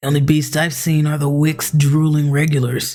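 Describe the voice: A man does a put-on character voice, gruff and gravelly, at a fairly high pitch. He speaks at a moderate pace with monotone, flat intonation.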